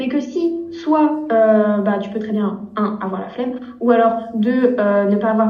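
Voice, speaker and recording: A woman with a fairly high-pitched voice speaks in a room with audible echo and noticeable background noise. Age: 20s. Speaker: business owner, sales prospecting consultant. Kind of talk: interview, telling her story. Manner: hesitant, many fillers.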